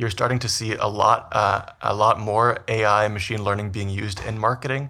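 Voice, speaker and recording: A man with a Canadian accent talks at a fairly quick pace with hardly any pauses. His medium-pitched voice has a bright, sharp tone and fairly even intonation. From Canada, Vancouver. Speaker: business school professor, behavioral scientist. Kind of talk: interview.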